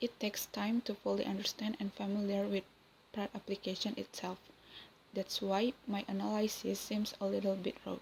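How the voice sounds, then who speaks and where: A woman with an Indonesian accent speaks at a medium pitch, somewhat breathy, with monotone, flat intonation. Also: moderate pace. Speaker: university student. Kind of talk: class presentation.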